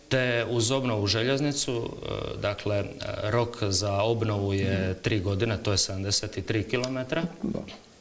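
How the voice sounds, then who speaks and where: Very slow in pace, a man speaks at a fairly low pitch with ordinary pitch variation over light background noise. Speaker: government official. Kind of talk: TV interview. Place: studio. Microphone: lapel.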